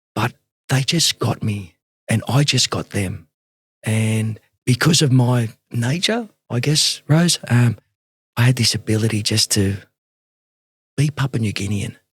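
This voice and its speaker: Somewhat breathy, with an Australian accent and ordinary pitch variation, the voice comes through with a dry, close sound with no echo and long, frequent pauses. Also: man, medium pitch for a man. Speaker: rugby league coach and mentor. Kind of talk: interview conversation. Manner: fast; animated.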